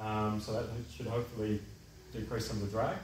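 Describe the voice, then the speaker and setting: There is audible room echo and light background noise as a man speaks with fairly even intonation. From Perth, Western Australia; Western Australia. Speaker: aerodynamics engineer. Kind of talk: casual interview. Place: garage. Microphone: camera far.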